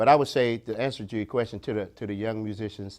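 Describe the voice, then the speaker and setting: A man with an American accent and a normal speaking voice, fairly low pitch, ordinary pitch variation and a fairly quick pace on a very clean recording with a silent background. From Ohio, Springfield. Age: 60s. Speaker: bass player. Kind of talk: interview. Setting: studio.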